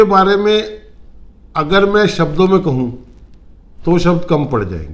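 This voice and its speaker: Lively in intonation and fairly high in pitch, a man's voice carries audible room echo. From North India, Uttarakhand (Roorkee). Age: 60s. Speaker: retired businessman, client giving testimonial. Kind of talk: testimony interview. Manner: halting.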